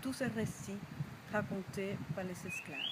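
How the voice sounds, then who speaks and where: A woman speaks with ordinary pitch variation. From Cuba. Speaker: storyteller. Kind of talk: project presentation to camera.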